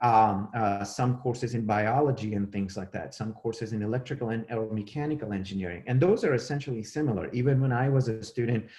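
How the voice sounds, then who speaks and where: A man with a Gujarati accent talks very fast, hardly pausing at all. His medium-pitched voice has a dark, mellow tone, somewhat breathy, with ordinary pitch variation. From India, Mumbai. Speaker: professor. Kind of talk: career talk lecture. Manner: halting, many fillers.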